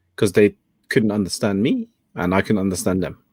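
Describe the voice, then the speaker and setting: A man's fairly low voice with a British accent and fairly even intonation, dry and close with no echo, in a very clean recording over a silent background. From England. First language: Cantonese. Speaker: talk show host. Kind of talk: casual chat.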